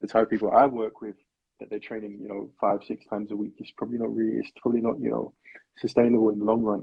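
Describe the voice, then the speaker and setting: Soft-spoken and very fast, a man with a fairly low voice speaks in a monotone, flat intonation in a South London accent. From South London, England. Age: 20s. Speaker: personal trainer. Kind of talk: interview.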